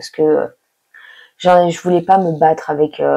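The voice has a dark, mellow tone with monotone, flat intonation. It moves at a moderate pace over a quiet background. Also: woman. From France. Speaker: exchange student YouTuber. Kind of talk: vlog monologue. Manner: casual, hesitant with fillers. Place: home room. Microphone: lapel.

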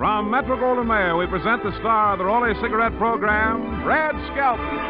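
Clear music fills the background. The man's pace is moderate. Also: dry sound with no echo. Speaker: radio announcer. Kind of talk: old-time radio show announcement. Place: studio. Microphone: old recording.

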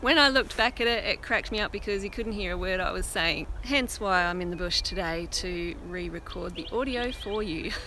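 The speech moves at a moderate pace. Background noise is noticeable, and the sound is dry with no echo. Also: woman. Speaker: nature vlogger. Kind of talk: casual nature vlog narration. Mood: cheerful, amused. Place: forest. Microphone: lapel.

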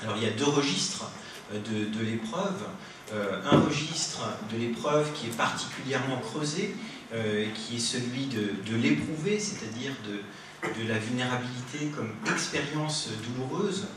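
Audible room echo and noticeable background noise fill the recording. The speech comes at a fairly slow pace. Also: man. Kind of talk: lecture introduction. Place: classroom.

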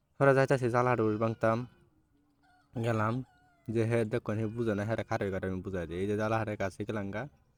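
With a Mymensingh accent, a man speaks at a medium pitch with fairly even intonation, recorded very cleanly against a silent background in a dry, close sound with no echo. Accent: Mymensingh regional Bengali. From Bangladesh, Mymensingh region. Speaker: vlogger. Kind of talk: casual vlog narration.

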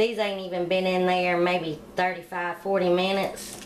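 A woman's flat, monotone delivery at a moderate pace, over light background noise. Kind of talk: cooking tutorial. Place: kitchen. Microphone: phone near.

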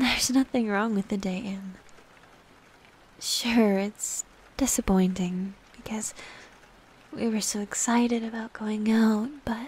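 The voice is soft-spoken and fairly slow, with long, frequent pauses. The sound is dry with no echo. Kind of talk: intimate roleplay monologue, soft comforting talk. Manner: soft, close, tender ASMR voice.

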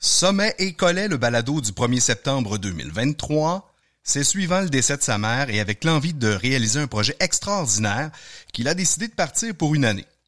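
A man with a Quebec accent talks at a moderate pace and a fairly high pitch, with very wide pitch swings and very even loudness. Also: very clean recording, silent background. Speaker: outdoor podcast host. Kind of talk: interview.

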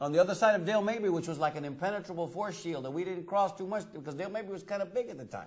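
A man's high voice with an American accent, very fast with hardly any pauses and big swings in loudness, against a quiet background. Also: ordinary pitch variation. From Tampa, Florida; Florida. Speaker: TV talk show host. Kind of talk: talk show chat. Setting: studio. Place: studio.

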